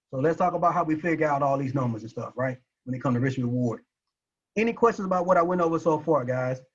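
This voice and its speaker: A very fast, somewhat breathy man's voice, fairly high in pitch. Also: lively intonation. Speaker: forex trading teacher. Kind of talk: webinar lecture. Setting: online webinar with chat. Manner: animated.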